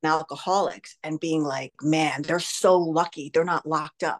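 A woman with a New Jersey accent speaks against a quiet background. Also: dry, close sound with no echo. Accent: American (New Jersey). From grew up in Canada, Spain and the US from seventh grade. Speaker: life coach and fitness studio owner. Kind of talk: interview about recovery from addiction. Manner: animated.

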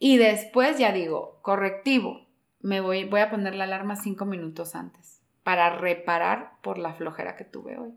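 A woman talks in a normal speaking voice at medium pitch and a moderate pace. Her pitch varies in an ordinary way, while her loudness swings widely. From Peru, Lima. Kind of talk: casual interview on faith.

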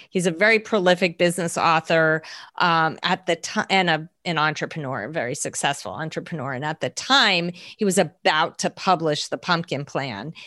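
With an American accent, a woman talks at a moderate pace in a plain, everyday voice, fairly low in pitch with ordinary pitch variation, recorded with a dry, close sound with no echo over a quiet background. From New Jersey. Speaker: business coach and company co-founder. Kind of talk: interview.

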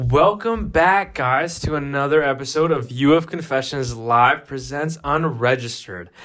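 With a normal speaking voice, a man talks at a moderate pace with hardly any pauses, a fairly high pitch, and ordinary pitch variation. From Pakistani heritage, Canada. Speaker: student podcast host. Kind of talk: casual chat.

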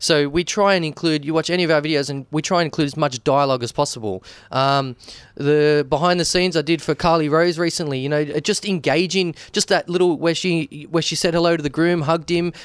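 A man with an Australian accent talks at a very fast pace in a fairly high pitch. The recording is very clean, with a silent background. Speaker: wedding and business videographer. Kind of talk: casual chat. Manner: animated.

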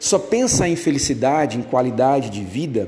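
A man talks at a moderate pace with lively intonation over noticeable background noise. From Brazil, Rio Grande do Sul. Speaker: university lecturer. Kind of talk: recorded lecture to students. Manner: hesitant, many fillers.

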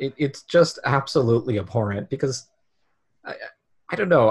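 In a very clean recording with a silent background, someone speaks at a fairly quick pace in a somewhat breathy voice. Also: man. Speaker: guest, comedy club member. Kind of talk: casual chat. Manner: monotone.

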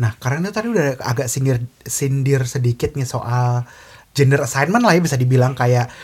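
Soft-spoken and somewhat breathy, a man talks at a fairly quick pace. His pitch sits in the medium range. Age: young. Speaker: podcast host. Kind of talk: casual chat. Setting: in person.

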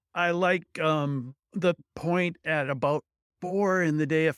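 A man with an Upper Midwest accent speaking very slowly, in a very clean recording with a silent background and a dry, close sound with no echo. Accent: Upper Midwest American. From US Midwest. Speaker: solar installer and instructor. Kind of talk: interview.

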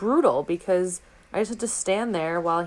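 A plain, everyday voice with an American accent speaks at a moderate pace. Its pitch varies in an ordinary way. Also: woman. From New York City, Manhattan. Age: 20s. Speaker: podcast guest. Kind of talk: casual chat.

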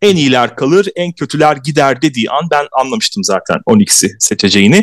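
Heard in a dry, close sound with no echo, a man uses vocal fry and very wide pitch swings. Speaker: podcast host. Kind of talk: casual chat.

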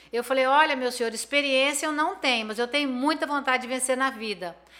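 A woman's raised, projected voice, high-pitched and bright and sharp in tone, at a very fast pace with ordinary pitch variation. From Brazil, Campo Grande, Mato Grosso do Sul. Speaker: businesswoman. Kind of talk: interview.

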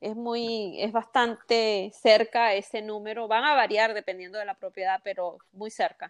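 A woman with an ordinary speaking voice talks fairly slowly with hardly any pauses, a fairly high pitch, fairly even intonation and big swings in loudness. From Venezuela, Carabobo coast. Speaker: mortgage broker. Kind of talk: interview.

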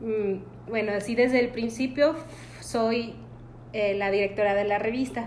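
With noticeable background noise and audible room echo, a woman talks at a fairly slow pace and a medium pitch. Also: ordinary pitch variation. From Mexico, Guanajuato (Valle de Santiago). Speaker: magazine director and entrepreneur. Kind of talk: interview.

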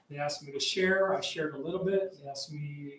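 The speaker has an American accent and a monotone, flat intonation at a moderate pace. Noticeable background noise runs underneath. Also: man. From US Southwest, Arizona border. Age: 50s. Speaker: combatives instructor. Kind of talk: casual interview.

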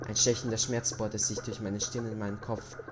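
A man speaks at a medium pitch and moderate pace. There is music in the background. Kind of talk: ghost story telling, first-person horror narration.

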